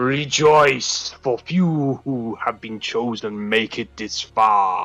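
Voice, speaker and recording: Very slow delivery in a put-on character voice from a man, faint music behind him. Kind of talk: formal, proclaiming. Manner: mysterious.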